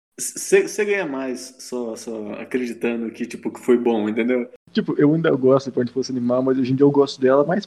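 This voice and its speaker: A man with a plain, everyday voice and medium pitch speaks at a fairly quick pace. He has ordinary pitch variation and hardly any pauses. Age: 20s. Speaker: website writer. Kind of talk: casual chat.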